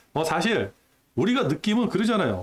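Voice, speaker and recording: The delivery moves at a moderate pace. Its pitch swings very widely. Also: man. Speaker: stock market youtuber. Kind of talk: casual market commentary. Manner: conversational, frequent filler questions.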